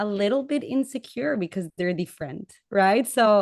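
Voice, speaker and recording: A woman with a Latin American accent speaks at medium pitch. The sound is dry and close with no echo, over a quiet background. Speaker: panelist. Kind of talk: panel discussion. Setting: webcast.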